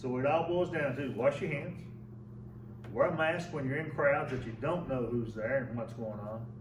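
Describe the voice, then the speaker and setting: Over noticeable background noise and audible room echo, a man speaks at a moderate pace in an Appalachian accent. His pitch is medium, with ordinary variation. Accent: Appalachian Kentucky. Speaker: mayor. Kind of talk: press briefing. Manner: emphatic.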